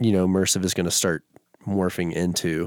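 Speaking in a monotone, flat intonation, a man with an American accent has a very deep, low pitch. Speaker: bass music producer. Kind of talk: casual interview chat. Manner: laid-back.

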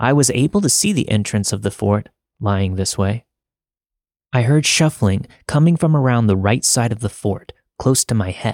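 In a very clean recording with a silent background and a dry, close sound with no echo, a man uses an ordinary speaking voice at medium pitch with lively intonation. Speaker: podcast narrator. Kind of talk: scripted horror narration of a listener's true story, read aloud. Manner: hushed, slow, suspenseful, building dread.

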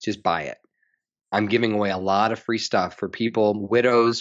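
A man's fairly low voice at a moderate pace. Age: 30s. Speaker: public health researcher and author. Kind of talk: casual interview. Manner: animated.

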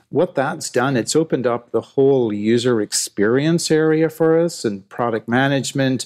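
A man with an Irish accent at medium pitch, fairly slow, with ordinary pitch variation, in a very clean recording with a silent background and a dry, close sound lacking echo. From Ireland. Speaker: tech company CEO. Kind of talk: podcast interview.

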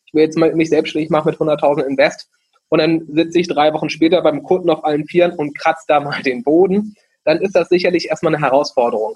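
His voice is fairly high in pitch. The man delivers his words at a very fast pace. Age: 20s. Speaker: franchise founder. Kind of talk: interview.

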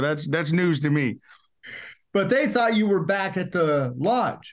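Against a quiet background, a man with a Southern US accent talks at a moderate pace in a high pitch with lively intonation. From Arkansas. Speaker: pastor. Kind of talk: testimony. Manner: preacherly, emphatic.

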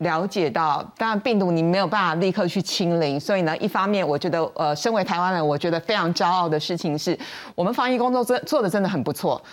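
A woman with a fairly low pitch talks very fast at a very even loudness, with hardly any pauses. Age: 50s. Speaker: veteran journalist. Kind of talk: panel discussion.

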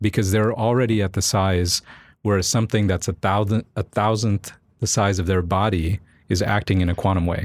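A man with an American accent and a normal speaking voice talks at a moderate pace with fairly low pitch, fairly even intonation and very even loudness, in a dry, close sound with no echo on a very clean recording with a silent background. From Florida, Cocoa Beach. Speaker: physics professor. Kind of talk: casual chat.

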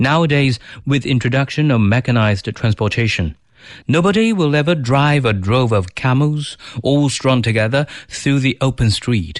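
Moderate pace and very even loudness from a man with a plain, everyday voice, medium pitch and lively intonation, over a quiet background. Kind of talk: audiobook-style literary reading, bilingual Chinese and English essay narration. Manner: measured, calm, smooth and polished, clearly articulated reading pace.

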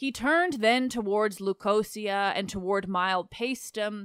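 A woman speaks in a normal speaking voice at a fairly slow pace. Her pitch is medium, with ordinary pitch variation. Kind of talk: literary audiobook reading. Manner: steady, measured narration; formal, even-paced, flowing through long lists of place names.

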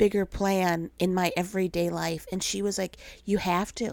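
A woman's animated voice at a fairly slow pace, in a very clean recording with a silent background. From Minnesota. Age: 40s. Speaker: podcast host. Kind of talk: faith-based personal storytelling monologue. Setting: home recording. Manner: animated, frequent laughter.

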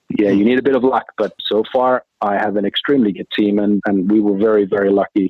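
A man with a Finnish accent, fairly low in pitch, with fairly even intonation at a moderate pace. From Finland. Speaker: corporate treasurer. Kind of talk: interview.

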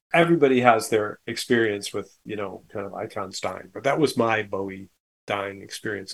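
Speaking at a moderate pace with lively intonation, a man uses a plain, everyday voice. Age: 60s. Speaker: musician and arranger. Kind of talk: casual interview chat.

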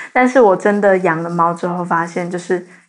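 A woman of medium pitch speaks at a very fast pace. There is noticeable background noise. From Taiwan, New Taipei (Zhonghe). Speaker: university student. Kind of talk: casual chat.

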